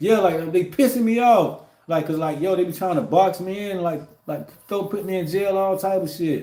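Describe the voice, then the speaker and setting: A man's high voice has a dark, mellow tone and ordinary pitch variation. Room echo is audible. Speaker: livestreamer and truck driver. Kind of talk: casual livestream monologue. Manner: fast; rambling with many fillers.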